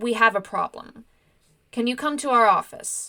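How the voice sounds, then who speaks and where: In a put-on character voice, a woman speaks at a moderate pace with a high pitch and lively intonation. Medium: read story. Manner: authoritative.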